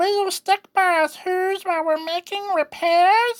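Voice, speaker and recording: A man puts on a character voice at an extremely high pitch, speaking at a fairly slow pace. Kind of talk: audiobook reading with character voices. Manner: pleading.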